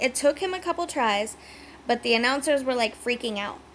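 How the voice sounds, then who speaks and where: Noticeable background noise sits under a speaker whose tone is animated. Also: woman. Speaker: wrestling recap YouTuber. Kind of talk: casual recap vlog. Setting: home video recording.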